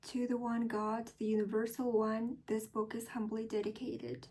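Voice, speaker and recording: Speaking in an American accent, a woman has a fairly high pitch. Her tone is dark and mellow, and her voice is somewhat breathy. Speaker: English learner practicing accent. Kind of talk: reading aloud. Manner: deliberate, careful pronunciation.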